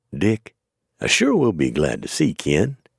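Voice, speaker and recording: A man puts on a character voice with a Texan accent, drawling at a moderate pace in a very deep, low pitch with very wide pitch swings. The sound is dry and close, with no echo. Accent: Texan, folksy ungrammatical speech. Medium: read story. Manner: lazy drawl, cool and careless.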